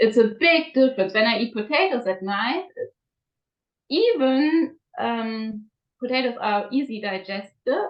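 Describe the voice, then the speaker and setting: With a non-native accent, a woman speaks at a fairly slow pace and a fairly high pitch. Her intonation is lively, broken by long, frequent pauses. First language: not English. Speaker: raw food diet coach. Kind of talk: interview. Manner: halting, many fillers.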